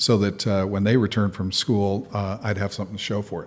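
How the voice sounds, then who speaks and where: This man's voice sits at a fairly low pitch. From Southern California. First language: Spanish. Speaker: business founder and CEO. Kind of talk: interview. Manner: many filler words (uh).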